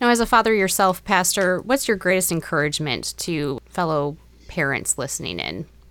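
With vocal fry and lively intonation, a woman speaks at a moderate pace in a fairly low pitch. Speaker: podcast host. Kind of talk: interview.

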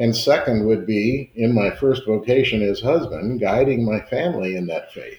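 A man speaks at a moderate pace with hardly any pauses. His voice is somewhat breathy, at a medium pitch with ordinary pitch variation. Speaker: layman, engineer, church elder. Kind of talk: casual conversational testimony.

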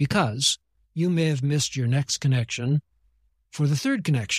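On a very clean recording with a silent background and a dry, close sound with no echo, a man speaks at a moderate pace in a fairly high, somewhat breathy voice. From Japan. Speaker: missionary pastor and theologian. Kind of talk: interview conversation.

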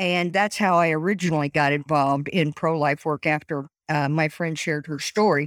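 A woman with a Midwestern American accent, a very deep, low pitch and fairly even intonation, at a fairly quick pace with hardly any pauses, in a dry, close sound with no echo on a very clean recording with a silent background. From US Midwest, Indiana. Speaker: pro-life advocate. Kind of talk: interview.

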